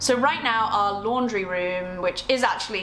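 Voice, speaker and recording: Heard with audible room echo and noticeable background noise, a woman with an English accent speaks with ordinary pitch variation. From England. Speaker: lifestyle vlogger. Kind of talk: casual vlog. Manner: fast.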